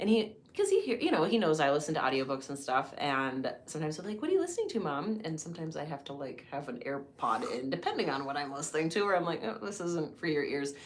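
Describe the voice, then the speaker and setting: Very fast speech with hardly any pauses and lively intonation, amid noticeable background noise and audible room echo. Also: woman, very deep, low pitch for a woman. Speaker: podcast co-host. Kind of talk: casual chat.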